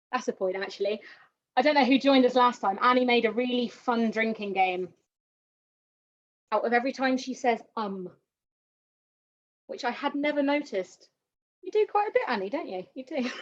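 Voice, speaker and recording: A woman's high-pitched, upbeat voice with lively intonation and long, frequent pauses. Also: fairly quick pace. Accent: West Country. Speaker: painting instructor. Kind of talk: tutorial. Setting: live online stream. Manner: chatty, upbeat.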